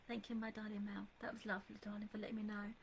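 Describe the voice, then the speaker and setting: This soft-spoken woman has an English accent. Her pitch is fairly high. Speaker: psychic medium. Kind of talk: live psychic reading. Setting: Facebook live stream from home computer. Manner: soft and calm; hesitant, many fillers.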